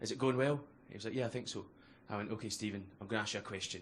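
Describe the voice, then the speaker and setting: A man's fairly low voice at a very fast pace, with fairly even intonation and audible room echo. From Scotland, Glasgow. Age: 20s. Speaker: comedian. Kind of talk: stand-up. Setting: stage with audience.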